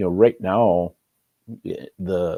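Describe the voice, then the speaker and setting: On a very clean recording with a silent background and a dry, close sound with no echo, a man speaks with a very deep, low pitch, a dark, mellow tone and fairly even intonation. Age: 60s. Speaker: talk show guest, family member suing over a death. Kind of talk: interview conversation.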